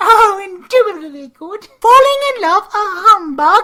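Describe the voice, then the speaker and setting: A woman performs a put-on character voice at an extremely high pitch. Her intonation is lively. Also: moderate pace. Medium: audio drama. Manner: jolly, mannered.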